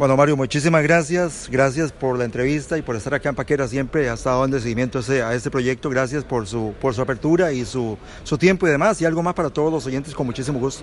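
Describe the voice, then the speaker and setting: Hardly pausing, a man talks at a very fast pace with a medium pitch and ordinary pitch variation, over noticeable background noise. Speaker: local radio journalist. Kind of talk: radio news interview. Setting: on location reporting.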